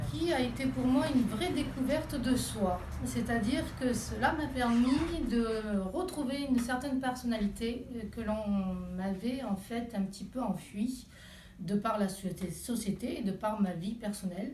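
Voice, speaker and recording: The speaker talks at a fairly slow pace with ordinary pitch variation. Room echo is audible. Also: woman, fairly high pitch for a woman. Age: 40s. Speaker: Reiki practitioner and massage therapist. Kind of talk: interview. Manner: hesitant, many fillers.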